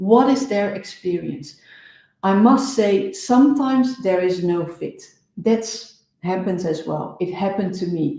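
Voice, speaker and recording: A somewhat breathy, dark and mellow voice with a Dutch accent, lively intonation, a fairly slow pace and audible room echo. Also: woman, medium pitch for a woman. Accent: non-native English, Dutch. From Netherlands. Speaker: business coach. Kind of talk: live show talk.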